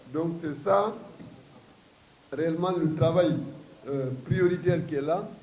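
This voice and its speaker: A man speaks at a very slow pace, with long, frequent pauses and a high pitch, over noticeable background noise and audible room echo. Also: ordinary pitch variation. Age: 70s. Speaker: party leader. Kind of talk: press statement. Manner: halting.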